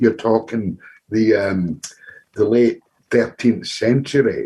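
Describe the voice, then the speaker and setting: Speaking at a fairly slow pace, a man with a Glaswegian accent has a medium pitch, ordinary pitch variation and a dark, mellow, somewhat breathy tone. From Scotland, Glasgow. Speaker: audience member asking a question. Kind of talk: Q&A contribution at an online talk. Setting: video call. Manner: halting, repetitive.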